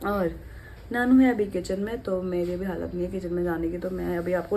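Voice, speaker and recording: The woman's speech has audible room echo. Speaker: vlogger. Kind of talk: casual vlog chat. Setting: at home.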